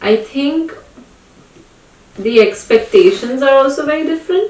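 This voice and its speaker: Against noticeable background noise, a woman talks at a moderate pace in a high pitch, with very wide pitch swings. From India. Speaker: podcast host. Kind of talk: casual chat.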